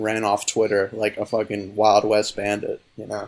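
A man at a medium pitch speaks at a moderate pace in a plain, everyday voice. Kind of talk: casual chat about films. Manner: joking, sarcastic.

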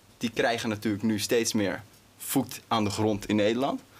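A man at medium pitch speaks over noticeable background noise. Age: 20s. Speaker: interview host. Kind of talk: interview.

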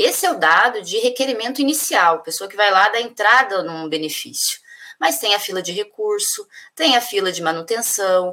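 With a bright, sharp tone, a woman speaks at a moderate pace and with lively intonation. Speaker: union leader. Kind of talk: interview. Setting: video call.

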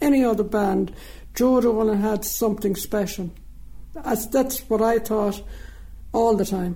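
A woman speaks with an Irish accent. Her pitch is fairly high. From Jamestown, County Leitrim, Ireland. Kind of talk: interview recollection.

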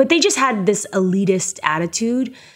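A woman talks in an animated tone with lively intonation. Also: very clean recording, silent background. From Canada, Toronto. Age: 30s. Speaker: photographer and online video creator. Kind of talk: casual interview. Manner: animated, laughs often.

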